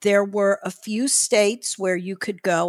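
A woman speaks fairly slowly in a normal speaking voice of medium pitch. The sound is dry and close with no echo, on a very clean recording with a silent background. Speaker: retired judge and abortion rights activist. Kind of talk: casual interview. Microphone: mic was too close, then adjusted.

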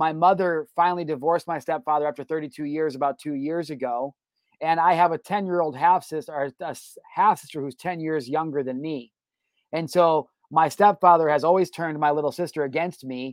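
A man talks at a fairly quick pace in a fairly high pitch. The sound is dry and close, with no echo. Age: 30s. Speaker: podcast host. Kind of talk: casual interview chat. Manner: animated.

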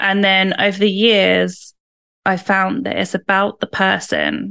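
A woman talks with a British accent at a fairly slow pace. The sound is dry and close with no echo, over a quiet background. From UK. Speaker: salon owner and lash trainer. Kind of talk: interview.

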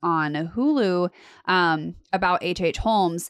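The speaker has a Southern California accent. The intonation is lively. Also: woman. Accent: Valley Girl. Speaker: podcast co-host. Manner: casual, chatty.

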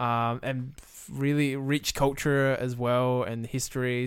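With an Australian accent, a man talks at a medium pitch. His intonation stays fairly even. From South Australia, Millicent. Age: 20s. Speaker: video game developer. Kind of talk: casual chat.

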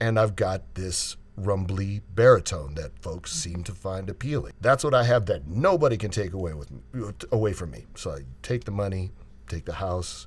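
A man talks at a moderate pace in a fairly low, somewhat breathy voice. His intonation is lively and his loudness swings widely. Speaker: voiceover artist. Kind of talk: casual interview chat.

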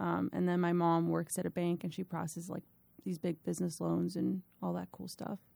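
Speaking at a fairly quick pace, a woman is heard in a dry, close sound with no echo. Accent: American. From Miami, Florida. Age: young. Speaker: firefighter paramedic, former teacher. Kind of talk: interview, casual storytelling.

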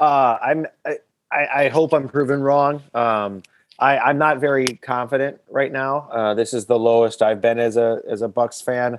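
Using an ordinary speaking voice, a man with an American accent talks at a fairly slow pace and medium pitch with fairly even intonation. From Milwaukee, Wisconsin. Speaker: comedian and sports fan guest. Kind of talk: casual interview.

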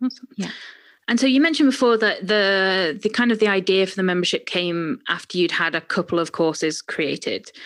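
In a very clean recording with a silent background, a woman with an ordinary speaking voice talks at a fairly quick pace and medium pitch. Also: lively intonation. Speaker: podcast host. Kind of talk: interview.

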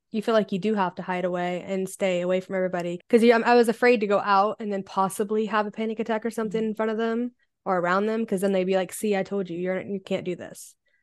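A woman with an American accent talks at a very fast pace with hardly any pauses, her medium-pitched voice monotone and flat against a quiet background. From US Midwest, Ohio. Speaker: farm owner, podcast guest sharing recovery story. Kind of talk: personal testimony in casual interview.

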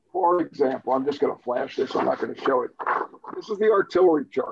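Here is a man with a high pitch. His intonation is lively. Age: 60s. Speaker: wargame designer and hobbyist. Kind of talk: casual chat.

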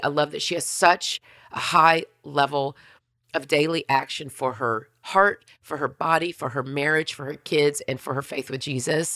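A woman's low, husky, raspy voice, fairly bright in tone, with fairly even intonation

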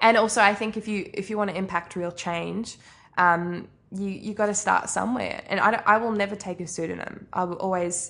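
Speaking fairly quickly with a New Zealand accent, a woman has a medium pitch, vocal fry and fairly even intonation. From New Zealand, Arrowtown near Queenstown. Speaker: author. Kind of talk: interview. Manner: casual with frequent fillers.

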